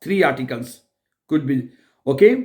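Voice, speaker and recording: A man's lively intonation in a Pakistani accent. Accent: South Asian (Pakistani) English. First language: Urdu. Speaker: German language teacher. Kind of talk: tutorial. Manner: halting, many fillers and restarts.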